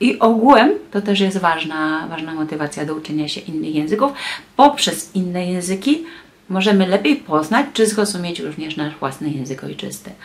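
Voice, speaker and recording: A woman speaks at a moderate pace in a fairly low voice. Her pitch swings very widely and her loudness rises and falls a lot. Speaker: translator and tour guide; tour guide. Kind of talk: vlog monologue. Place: home room. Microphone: phone near.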